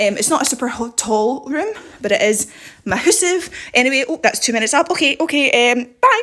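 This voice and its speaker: Very wide pitch swings from a woman with a high voice at a fairly quick pace, against noticeable background noise. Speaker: home video vlogger. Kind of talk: house tour. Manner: fast; animated.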